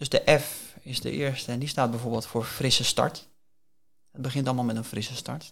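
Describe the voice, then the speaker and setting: A man with a normal speaking voice talks at a fairly quick pace and a medium pitch, with fairly even intonation. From Netherlands, Hillegom (Bollenstreek, South Holland). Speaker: career coach. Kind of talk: interview.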